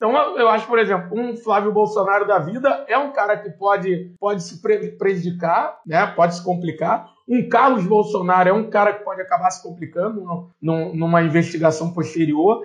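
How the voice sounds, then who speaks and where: Speaking at a moderate pace with hardly any pauses, a man with a high pitch shows ordinary pitch variation and big swings in loudness. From Rio de Janeiro, West Zone (Campo Grande). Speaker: podcast co-host, navy veteran. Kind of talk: political discussion podcast. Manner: halting, many fillers.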